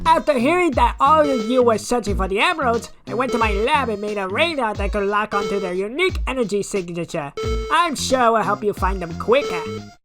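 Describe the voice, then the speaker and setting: In a put-on character voice, someone speaks fairly quickly at a fairly high pitch while clear music plays in the background. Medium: dub.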